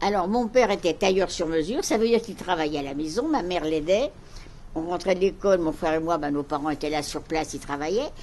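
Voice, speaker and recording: Talking at a very fast pace, a woman uses a fairly low pitch and lively intonation. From Paris, France. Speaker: Holocaust survivor. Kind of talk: talk to school pupils. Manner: measured, explanatory.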